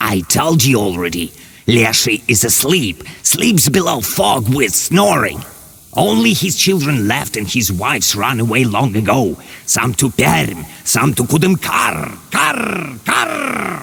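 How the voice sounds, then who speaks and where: A man puts on a croaky character voice at medium pitch, delivering it at a fairly slow pace. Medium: video game. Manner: cryptic, broken phrasing, croaks "karr".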